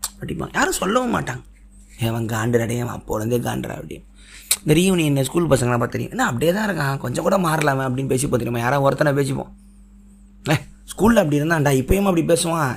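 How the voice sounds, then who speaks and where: This man's voice sits fairly high. His intonation is lively. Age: 30s. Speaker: podcast host. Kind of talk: solo monologue podcast.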